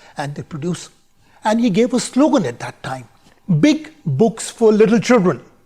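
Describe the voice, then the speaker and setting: Speaking with an Indian accent, a man uses a high pitch and very wide pitch swings. His pace is moderate. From India, Bareilly, Uttar Pradesh. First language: Hindi. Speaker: conference speaker. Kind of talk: recorded conference talk.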